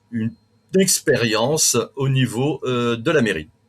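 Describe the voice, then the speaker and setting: Very slowly and with lively intonation, a man talks at a medium pitch in a somewhat breathy voice, on a very clean recording with a silent background. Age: 60s. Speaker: local election candidate. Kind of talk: interview. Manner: halting.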